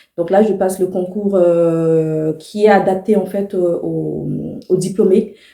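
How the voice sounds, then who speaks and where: Very slow and fairly even in intonation, the voice has a dark, mellow tone. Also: woman. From Ivory Coast, Abidjan (Abobo). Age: 30s. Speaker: vlogger. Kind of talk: personal vlog monologue. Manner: casual, hesitant with many fillers.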